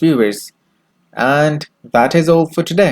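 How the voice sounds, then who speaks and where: In a very clean recording with a silent background, a man speaks at a moderate pace, his fairly high pitch carried by lively intonation. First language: Urdu. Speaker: YouTube news host. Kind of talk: news reading.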